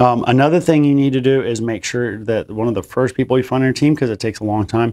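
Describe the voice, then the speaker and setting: A man speaks at a very fast pace with a medium pitch and ordinary pitch variation. His tone is dark and mellow, over a quiet background. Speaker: real estate investor. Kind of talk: Q&A monologue.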